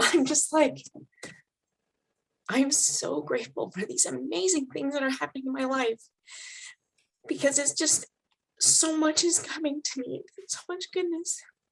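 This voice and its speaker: A woman's raspy, high-pitched put-on character voice at a moderate pace, broken by long, frequent pauses. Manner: grateful, heartfelt.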